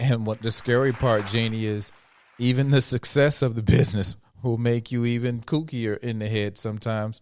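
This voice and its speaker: A man's medium-pitched voice at a moderate pace. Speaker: comedian and podcast host. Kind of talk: casual chat. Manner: loud; animated.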